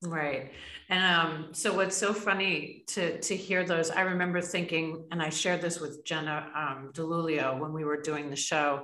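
A woman with a normal speaking voice and an American accent talks at a moderate pace, her fairly low pitch carried with fairly even intonation. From New York state. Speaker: podcast host. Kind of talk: interview.

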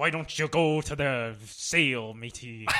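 A man uses a put-on character voice with a fairly high pitch. He speaks at a fairly slow pace.

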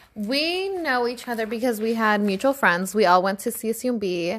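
A woman talks at a moderate pace in a fairly high voice. Her intonation is lively. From Northern California (East Palo Alto). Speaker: podcast co-host. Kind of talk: casual chat.

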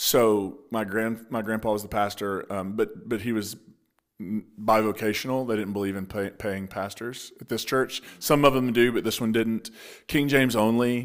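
On a very clean recording with a silent background, a man with an American accent and an ordinary speaking voice talks at a moderate pace and medium pitch, his intonation fairly even. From Appalachia, Eastern Kentucky / West Virginia border. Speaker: pastor. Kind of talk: casual interview conversation.

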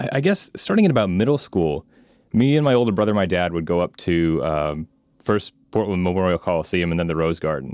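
In a dry, close sound with no echo and a quiet background, a man with an American accent speaks at a fairly quick pace with a very deep, low pitch. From Oregon, US. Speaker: podcast host, sports fan guest. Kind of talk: casual chat. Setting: call.

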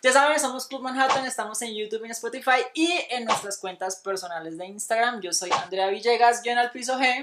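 A woman's fairly high voice at a fairly quick pace, animated in tone, with ordinary pitch variation and hardly any pauses. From Colombia, Antioquia (paisa family, small city). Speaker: podcast co-host. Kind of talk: casual chat.

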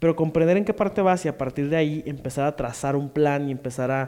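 Pitched fairly high, a man talks at a fairly quick pace in a dark, mellow tone with ordinary pitch variation. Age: 20s. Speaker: podcast co-host, actor and stand-up comedian. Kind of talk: casual chat.

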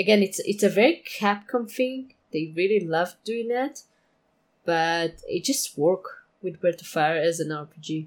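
A woman speaks at a fairly slow pace with a medium pitch, lively intonation and big swings in loudness. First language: not English. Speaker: podcast co-host, former forum moderator. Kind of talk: casual chat. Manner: halting, many fillers.

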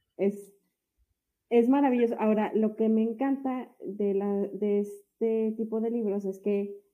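A woman talks at a very slow pace and medium pitch. Her intonation is monotone and flat. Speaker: podcast co-host. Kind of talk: casual chat.

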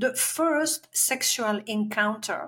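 A woman with a French accent and a fairly high-pitched voice. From Belgium. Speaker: life coach and healer. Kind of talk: interview conversation.

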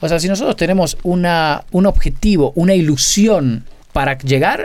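A man talks at a high pitch with lively intonation. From Argentina, Buenos Aires. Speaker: illusionist. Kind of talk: casual interview chat.

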